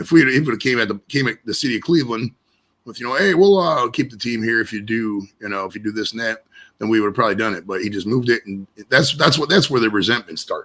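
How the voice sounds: A man at a fast pace, medium pitch, fairly bright tone and ordinary pitch variation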